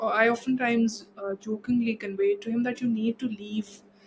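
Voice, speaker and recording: A woman with a fairly high pitch talks at a moderate pace, sounding somewhat breathy. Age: 20s. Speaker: body image advocate. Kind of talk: casual interview.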